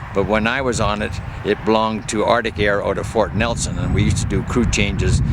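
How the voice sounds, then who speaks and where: A man's fairly quick, fairly low-pitched speech with a Canadian accent and fairly even intonation, over noticeable background noise. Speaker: retired air force pilot. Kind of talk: guided aircraft tour. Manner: halting, many fillers.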